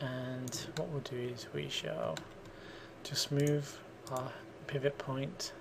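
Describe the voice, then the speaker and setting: Words come out very slowly while noticeable background noise plays underneath. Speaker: 3D modelling tutor. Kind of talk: software tutorial. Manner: casual, thinking aloud.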